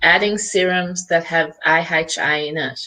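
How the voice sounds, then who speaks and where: A woman with an Australian accent speaks at a very slow pace in a bright, sharp tone, her pitch varying in an ordinary way. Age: 60s. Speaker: skincare company founder. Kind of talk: interview. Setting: live video interview.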